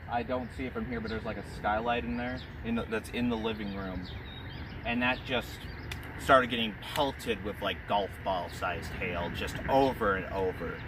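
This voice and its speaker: In an American accent, a man speaks at a medium pitch and a moderate pace, with ordinary pitch variation. Audible room echo and noticeable background noise are present. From US Midwest, Joplin, Missouri. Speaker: vlogger. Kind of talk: casual storytelling. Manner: halting.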